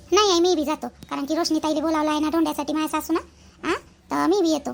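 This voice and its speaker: A squeaky, put-on character voice moves at a fairly quick pace with fairly even intonation. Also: woman, high pitch for a woman. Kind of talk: rural Marathi comic sketch. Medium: comedy sketch. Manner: chatty, rambling.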